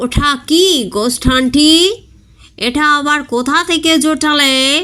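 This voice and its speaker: In a put-on character voice, a man squeaks out his words at a very slow pace in an extremely high pitch. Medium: read story. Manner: eager, nervous.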